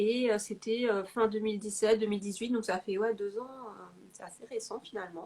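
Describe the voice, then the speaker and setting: The woman's fairly high voice is monotone and flat, moving at a moderate pace with big swings in loudness. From Paris, France. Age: 40s. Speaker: lettering artist. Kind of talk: interview.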